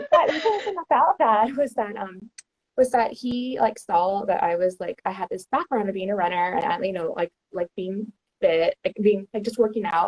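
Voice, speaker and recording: A woman's normal speaking voice in an American accent, fairly high in pitch, lively in intonation, at a moderate pace, with a dry, close sound and no echo. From Texas, Houston. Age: 30s. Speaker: outdoor content creator. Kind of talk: casual chat.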